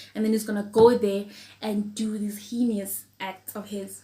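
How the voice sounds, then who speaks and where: Speaking at a moderate pace, a woman uses a fairly high pitch, a somewhat breathy voice and monotone, flat intonation. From South Africa. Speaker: true crime youtuber. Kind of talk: true crime storytelling while eating. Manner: casual, conversational.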